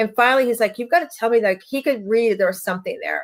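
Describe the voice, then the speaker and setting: In a very clean recording with a silent background, a woman with a fairly high pitch and ordinary pitch variation speaks in a plain, everyday voice. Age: 60s. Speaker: life coach and author. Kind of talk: interview testimony. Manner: conversational, with frequent fillers.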